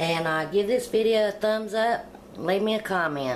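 Light background noise sits behind a voice with ordinary pitch variation. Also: woman. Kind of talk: cooking tutorial. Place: kitchen. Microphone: phone near.

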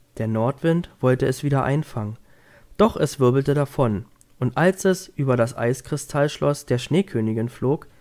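A man speaks at medium pitch in a dark, mellow tone. His delivery is gentle and soothing, with lively intonation. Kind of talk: bedtime story reading aloud. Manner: gentle, soothing, slow storytelling pace.

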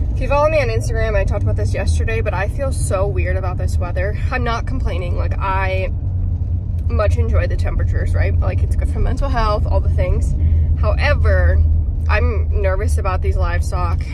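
Loud background noise, a dry sound with no echo, and a fairly quick pace. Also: woman. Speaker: farmer vlogger. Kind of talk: casual vlog chat. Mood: uneasy about the weather. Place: car. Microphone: phone near.

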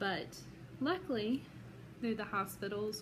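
Over noticeable background noise, a woman with a Southern US accent talks at a fairly slow pace. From Georgia, USA. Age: 30s. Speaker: psychology student. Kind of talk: self-introduction for class. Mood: earnest, emotional personal story. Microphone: phone near.

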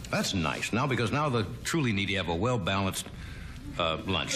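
The man's intonation is lively. Background noise is noticeable throughout. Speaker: talk show host. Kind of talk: comedy monologue. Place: stage.

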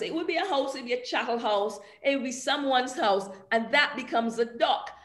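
Audible echo from the room hangs around the speech. Its intonation rises and falls in a lively way. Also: woman. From Barbados. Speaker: cultural studies academic; panelist. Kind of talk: panel presentation. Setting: video call. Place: home room. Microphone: video call.

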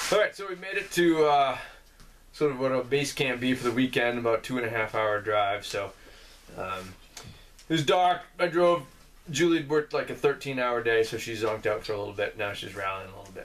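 A man's fairly quick speech with lively intonation. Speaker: vlogger. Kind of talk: casual vlog chat. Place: home room.

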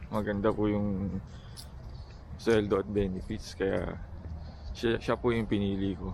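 A man at a fairly low pitch, fairly even in intonation, with long, frequent pauses. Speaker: vlogger, engineer job seeker. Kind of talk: casual vlog talk. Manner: halting, many fillers.

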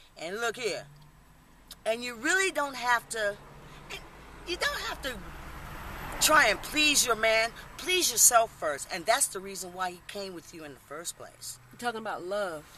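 A woman's voice swings very widely in pitch and greatly in loudness, with long, frequent pauses, light background noise and a dry sound without echo. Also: fairly high pitch for a woman, moderate pace. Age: 50s. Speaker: military veteran. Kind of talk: casual interview; informal street interview talk. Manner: animated; halting with repetitions. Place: street. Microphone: camera far.

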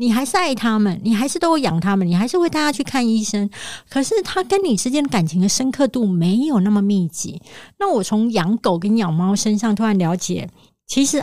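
Somewhat breathy and dark, mellow in tone, a woman talks at medium pitch and very even loudness on a very clean recording with a silent background. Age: 40s. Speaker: author. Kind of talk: interview.

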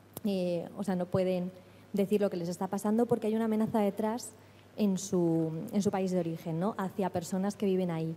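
Soft-spoken at a fairly quick pace, a woman uses a dark, mellow tone and fairly even intonation over light background noise. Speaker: lawyer at an NGO, audience member asking a question; lawyer at an NGO, audience member. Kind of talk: audience question at a seminar. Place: hall.

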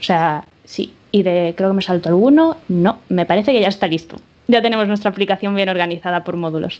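A woman speaks in a Spanish accent at a medium pitch. Her pitch variation is ordinary. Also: fairly quick pace. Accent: Spanish (Spain). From Spain, Málaga; Spain. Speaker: software developer. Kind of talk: conference talk. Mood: relaxed, humorous. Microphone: video call.

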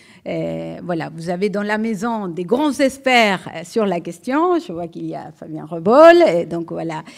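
A woman with a slight Uruguayan accent, fairly slow pace, hardly any pauses, big swings in loudness and a quiet background. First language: Spanish (speaking French). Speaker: economics professor. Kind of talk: lecture. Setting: lecture hall with audience. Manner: hesitant, repeated fillers. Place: hall. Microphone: podium.

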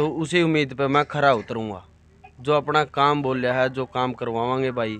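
Speaking at a fairly slow pace, a man with a medium-pitched voice keeps his intonation fairly even, the sound dry with no echo and light noise behind him. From Haryana, India. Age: 20s. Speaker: village council member. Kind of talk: interview answers. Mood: earnest promises to villagers. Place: home room. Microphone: handheld.

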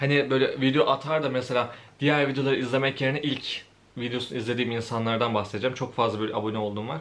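A man's medium-pitched voice at a very fast pace, with fairly even intonation. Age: 20s. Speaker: YouTuber. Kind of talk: casual Q&A monologue while eating. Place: home room.

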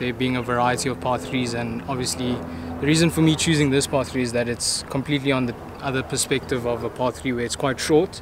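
The recording is dry with no echo but carries noticeable background noise. A man speaks at a fairly quick pace. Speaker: golf channel host. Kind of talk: casual vlog chat. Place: open country.

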